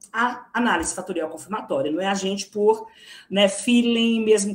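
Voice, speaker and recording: Her pitch sits in the medium range, and she has a normal speaking voice. The woman's pace is moderate, and her pitch varies in an ordinary way. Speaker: psychology researcher. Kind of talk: academic lecture.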